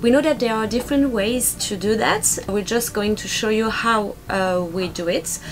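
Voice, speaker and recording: Faint music plays in the background as a woman speaks. Her pace is moderate and her pitch variation ordinary. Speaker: sailing vlogger. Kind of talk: casual vlog chat. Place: boat. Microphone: camera far.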